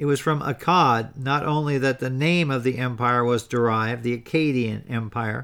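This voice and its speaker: Using an unremarkable speaking voice, a man talks at a moderate pace with fairly even intonation. The recording is very clean, with a silent background. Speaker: history podcast host. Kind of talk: history documentary narration, scripted. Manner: measured, formal, even-paced storytelling delivery; occasionally stumbles over names and words.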